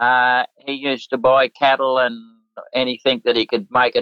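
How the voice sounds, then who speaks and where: Moderate pace from a man with an Australian accent. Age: 80s+. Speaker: retired Olympic show jumper. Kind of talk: interview.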